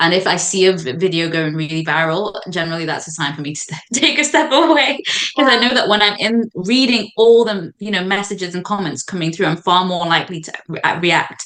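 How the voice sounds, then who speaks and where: The speaker has a British accent and lively intonation at a fairly quick pace. Background noise is noticeable. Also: woman, medium pitch for a woman. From Zambia, raised in the UK. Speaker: medical doctor and content creator. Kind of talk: podcast guest conversation.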